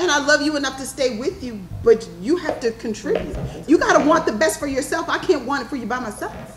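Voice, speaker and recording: Amid noticeable background noise, a woman with an American accent and a high pitch talks at a fairly quick pace, her intonation lively and her loudness swinging widely. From New York. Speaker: panelist. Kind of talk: panel discussion.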